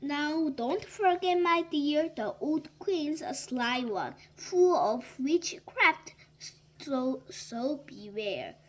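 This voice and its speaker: A woman in a put-on character voice, high-pitched and very slow. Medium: read story. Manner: gentle.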